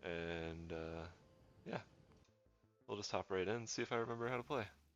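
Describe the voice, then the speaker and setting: Music plays in the background as a man talks at a fairly quick pace. His voice is very deep and low, with ordinary pitch variation. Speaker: gaming streamer. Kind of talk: live gameplay commentary. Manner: casual, with filler words.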